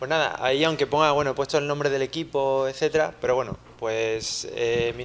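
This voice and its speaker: Over noticeable background noise, a man with a fairly high pitch talks at a fairly quick pace and with fairly even intonation. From Spain, Seville. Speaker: software engineer, conference speaker. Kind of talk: conference talk. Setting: lecture hall with audience, handheld mic, streamed. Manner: conversational, many fillers.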